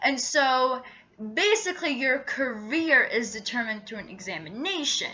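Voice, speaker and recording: A woman with an Arabic accent speaks at a fairly slow pace. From Iraq, moved to US around age 11. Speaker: vlogger. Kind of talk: casual vlog monologue. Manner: hesitant, many fillers.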